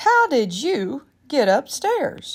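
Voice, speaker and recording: A put-on character voice with very wide pitch swings. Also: woman. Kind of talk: bedtime story. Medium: read story.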